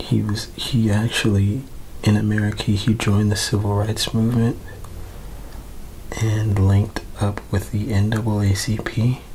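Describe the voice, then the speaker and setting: Soft-spoken delivery at a moderate pace, marked by long, frequent pauses. Noticeable background noise sits behind it. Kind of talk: ASMR soft-spoken history talk.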